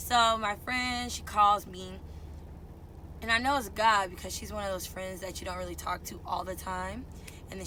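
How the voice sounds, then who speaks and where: A woman talks in an animated tone at a moderate pace, her volume rising and falling sharply. Background noise is noticeable. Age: 20s. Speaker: truck driver and aspiring singer. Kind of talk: casual storytime talk to camera. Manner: outgoing, animated.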